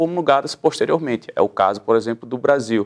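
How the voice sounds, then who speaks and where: A man with a fairly high voice talks at a moderate speed, the background quiet. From Pernambuco, Brazil. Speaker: public defender, human rights council president; public guest. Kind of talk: interview. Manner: formal. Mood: calm, measured, explanatory. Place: studio. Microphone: lapel.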